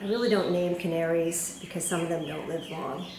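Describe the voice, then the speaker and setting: A woman's fairly low, fairly evenly intoned voice with noticeable background noise and audible room echo. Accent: slight New York. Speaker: cross stitch video blogger. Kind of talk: casual chat. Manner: casual, hesitant with fillers.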